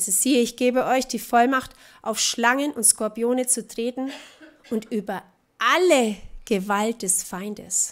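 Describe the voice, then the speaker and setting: A woman's animated, fairly high voice at a fairly slow pace, with ordinary pitch variation and long, frequent pauses. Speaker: preacher. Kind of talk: sermon, preacher in full flow, passionate and urgent. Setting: church. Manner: animated, emphatic, mocking tone with laughter and rhetorical questions; rhythmic, repeating contrasts in pulpit style. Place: church.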